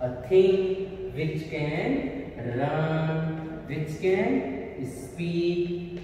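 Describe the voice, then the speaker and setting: A man's high voice carries strong room echo along with light background noise. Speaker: teacher. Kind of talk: lecture. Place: classroom.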